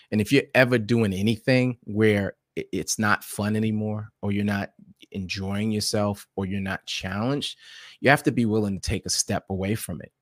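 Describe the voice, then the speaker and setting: In a plain, everyday voice with an American accent, the speaker talks at a moderate pace with fairly even intonation, the sound dry and close with no echo. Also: man, fairly low pitch for a man, very clean recording, silent background. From New York City (South Jamaica, Queens). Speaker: podcaster and blogger. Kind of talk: casual interview.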